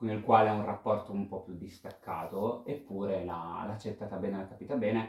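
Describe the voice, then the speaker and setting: A man's fairly low voice holds a fairly even intonation. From Italy, Pesaro (Marche). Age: 30s. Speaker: interviewee sharing coming-out story. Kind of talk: personal testimony. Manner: talkative.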